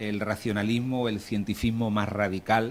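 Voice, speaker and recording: A man speaks with a strong Málaga accent at a moderate pace. His pitch sits fairly low. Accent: Málaga Andalusian accent, strong. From Andalusia, Alhama de Granada. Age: 40s. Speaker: panel moderator. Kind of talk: panel moderation and introductions.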